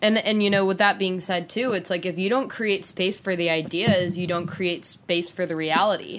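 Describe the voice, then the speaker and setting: In a very clean recording with a silent background, a woman talks at a medium pitch and a moderate pace with hardly any pauses. Her intonation stays fairly even. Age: 20s. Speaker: social media creative director. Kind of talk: casual chat.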